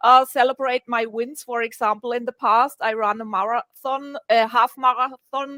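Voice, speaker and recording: A woman speaks with a German accent in a high pitch. Her tone is bright and sharp, and the sound is dry and close with no echo. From Germany. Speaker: communication coach. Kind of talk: radio interview. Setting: radio show. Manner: halting, many fillers and restarts.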